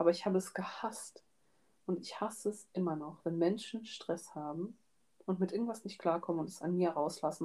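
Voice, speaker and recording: A woman with a plain, everyday voice, medium pitch, moderate pace and ordinary pitch variation. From Georgia, raised in Germany. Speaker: student podcast co-host. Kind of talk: casual chat.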